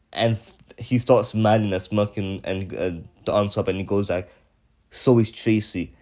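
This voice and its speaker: A man's fairly low, fairly even voice at a moderate pace, with music in the background. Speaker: YouTuber reviewing a TV episode. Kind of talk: casual unscripted monologue. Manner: halting, many fillers and restarts.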